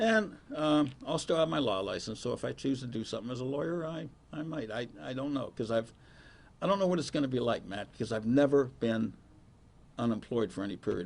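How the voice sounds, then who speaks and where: Speaking with an Ohio accent, a man at medium pitch moves at a fairly quick pace with lively intonation. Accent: Ohio American. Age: 70s. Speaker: county prosecutor. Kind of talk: press conference Q&A.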